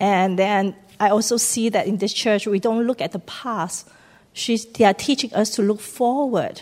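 At a moderate pace, a woman talks in a normal speaking voice with a fairly high pitch and ordinary pitch variation. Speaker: church member giving testimony. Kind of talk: testimony. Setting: church.

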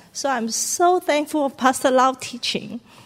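Noticeable background noise runs under this recording. The woman's delivery is moderately paced. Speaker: church member giving testimony. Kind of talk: testimony. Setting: church.

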